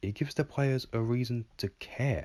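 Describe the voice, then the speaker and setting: A man's somewhat breathy voice comes through dry and close with no echo on a very clean recording with a silent background. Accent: English. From England. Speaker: video game commentator. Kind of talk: scripted narration.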